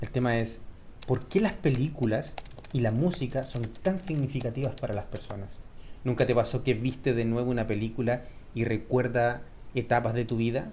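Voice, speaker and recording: At a moderate pace, a man speaks in a medium pitch with a dark, mellow tone. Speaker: Spanish teacher. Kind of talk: tutorial. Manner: clear pronunciation.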